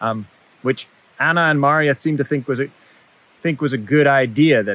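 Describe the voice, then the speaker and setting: Someone speaks at a fairly quick pace with ordinary pitch variation, recorded with a dry, close sound and no echo. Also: man. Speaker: professor. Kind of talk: keynote lecture. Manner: fast when excited.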